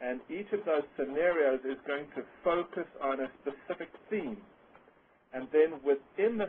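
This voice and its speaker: A man with a South African accent, fairly high in pitch, at a moderate pace. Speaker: webinar presenter. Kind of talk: webinar presentation. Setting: online webcast.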